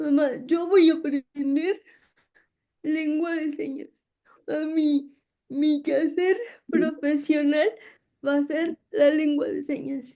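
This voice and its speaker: A woman with a high voice and a dark, mellow tone speaks very slowly. She leaves long, frequent pauses, and her intonation stays fairly even. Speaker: university professor and sign language advocate. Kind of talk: interview conversation.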